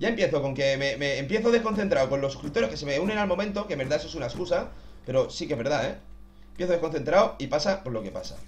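Lively intonation from a fairly high-pitched man at a very fast pace, over light background noise. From Spain. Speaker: gaming youtuber. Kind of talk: gameplay commentary. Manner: animated. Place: home room.

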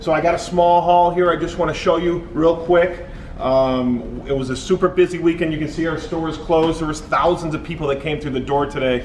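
A man talks at a fairly quick pace in a high pitch, his intonation fairly even. Room echo is audible, along with light background noise. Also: hardly any pauses. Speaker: reseller. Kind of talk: casual vlog chat. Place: shop. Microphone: camera far.

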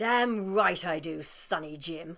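A woman with a fairly low pitch does a cartoonish character voice, speaking fairly slowly with lively intonation. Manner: scornful, brusque, aggressive.

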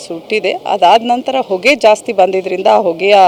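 Noticeable background noise runs beneath the recording. A woman speaks at a medium pitch. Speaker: local official briefing media. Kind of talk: on-scene statement to media.

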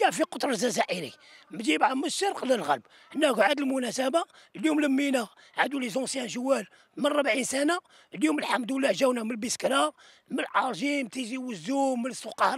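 A man speaks at a fairly quick pace with lively intonation and an extremely high pitch. Noticeable background noise runs underneath. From Algeria, Tizi Ouzou. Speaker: army veteran, former amateur footballer. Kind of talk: interview.

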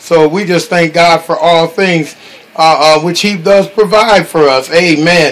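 This man talks at a fairly slow pace with a high pitch and fairly even intonation. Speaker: minister hosting a call. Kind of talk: sermon.

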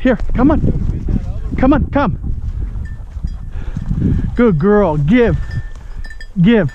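Delivery is very slow, broken by long, frequent pauses. The sound is dry with no echo, over light background noise. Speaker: bird hunter. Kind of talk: commands to hunting dog. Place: open country. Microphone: phone near.

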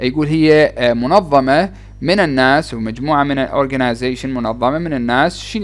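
A man with a Wasit accent, at a moderate pace. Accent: Iraqi Arabic, Wasit dialect. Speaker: English teacher. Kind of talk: tutorial.

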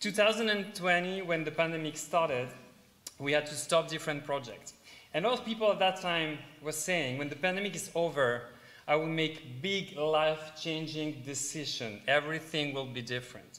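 In a French accent, a man talks at a moderate pace with ordinary pitch variation. His tone is bright and sharp, and room echo is audible. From south of France. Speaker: middle school teacher and stage actor. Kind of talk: live presentation to an audience. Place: hall.

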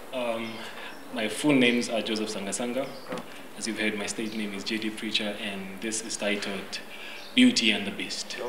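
A man talks at a moderate pace in a fairly low, monotone, flat voice with long, frequent pauses. Background noise is noticeable. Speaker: slam poet. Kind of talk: slam poetry performance. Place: garden.

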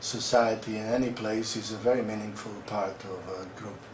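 A man talks at a moderate pace in a flat, monotone way. Room echo is audible, and there is light background noise. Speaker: guest. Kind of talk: interview answer. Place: office. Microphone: camera far.

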